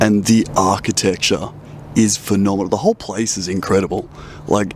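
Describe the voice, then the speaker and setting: Against noticeable background noise, a man with an Australian accent talks at a moderate pace, his fairly low pitch following fairly even intonation. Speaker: travel photography vlogger. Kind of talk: casual vlog talk to camera.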